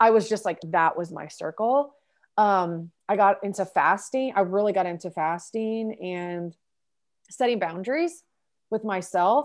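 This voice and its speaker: Over a silent background in a very clean recording, a woman with an ordinary speaking voice talks at a medium pitch and a fairly slow pace. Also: ordinary pitch variation. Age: 30s. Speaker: life coach. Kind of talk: interview conversation.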